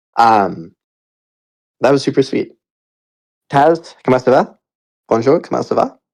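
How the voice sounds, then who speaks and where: Lively intonation and vocal fry at a fairly slow pace, with long, frequent pauses. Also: man, medium pitch for a man. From Canada. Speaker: project founder hosting community town hall. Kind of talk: live audio space town hall. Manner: casual, filler-heavy with stammering repeats.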